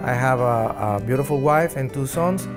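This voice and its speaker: With a Mexican accent, a man talks at a moderate pace in a medium pitch while music plays in the background. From Mexico. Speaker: oral surgeon. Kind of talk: interview answer.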